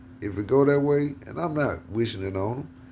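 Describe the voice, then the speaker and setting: The voice has a dark, mellow tone, with audible room echo around it. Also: man. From US South. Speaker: podcast host. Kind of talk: casual chat. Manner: animated.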